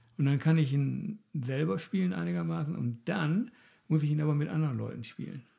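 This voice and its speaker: A man with a fairly high pitch and a dark, mellow tone talks at a fairly quick pace, somewhat breathy, his pitch swinging very widely, on a very clean recording with a silent background. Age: 60s. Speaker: psychologist, podcast host. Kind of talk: casual conversation.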